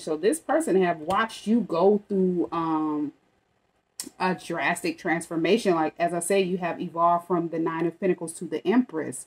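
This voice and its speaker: A woman's fairly low voice moves at a moderate speed, its pitch varying in an ordinary way. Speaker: tarot reader. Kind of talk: tarot reading commentary. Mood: calm, reassuring. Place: home room. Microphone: phone near.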